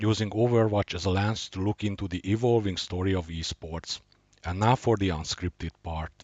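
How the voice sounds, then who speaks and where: Here a man talks with a fairly low pitch. His intonation stays fairly even at a moderate pace. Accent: Hungarian. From Hungary, Budapest. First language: Hungarian. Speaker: gaming and investing youtuber. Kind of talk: scripted introduction; unscripted screen walkthrough. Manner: hesitant, many uh fillers.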